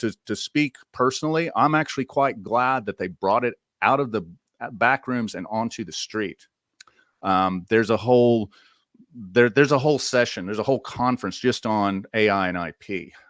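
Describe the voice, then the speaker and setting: Recorded very cleanly against a silent background with a dry, close sound and no echo, a man in a Southern US accent talks at a moderate pace and medium pitch with lively intonation. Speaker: AI media commentator, podcast host. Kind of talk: conference presentation. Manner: casual, conversational with fillers.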